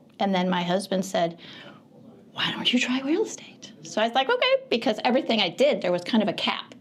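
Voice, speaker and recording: A woman with an American accent speaks at a fairly quick pace in a fairly high pitch, her intonation lively against noticeable background noise. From Michigan. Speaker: real estate broker. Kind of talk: interview.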